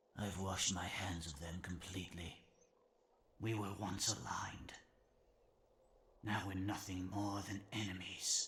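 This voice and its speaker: Using a put-on character voice, a man speaks in a very deep, low pitch. His pace is moderate and his intonation fairly even. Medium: video game. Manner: slow, measured, gentle.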